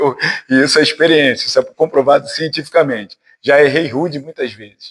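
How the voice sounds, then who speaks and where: This man has a plain, everyday voice. He talks at a fairly quick pace, with big swings in loudness. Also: fairly high pitch for a man, fairly even intonation. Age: 50s. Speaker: spiritist lecturer, physician. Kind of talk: spiritist talk to a study group. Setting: spiritist centre with audience. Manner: conversational, informal.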